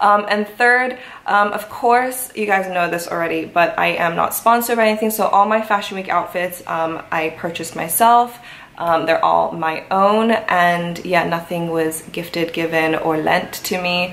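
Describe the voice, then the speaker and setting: Using ordinary pitch variation, a woman with a fairly low pitch talks at a moderate pace. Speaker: fashion vlogger. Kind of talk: casual vlog chat. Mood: cheerful, relaxed. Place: home room. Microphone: camera far.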